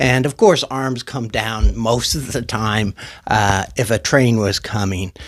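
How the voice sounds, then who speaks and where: On a very clean recording with a silent background, a man talks at a medium pitch. His voice has vocal fry and ordinary pitch variation. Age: 60s. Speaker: YouTuber talking about music and mental health. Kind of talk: personal testimony monologue. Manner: halting, many fillers and restarts.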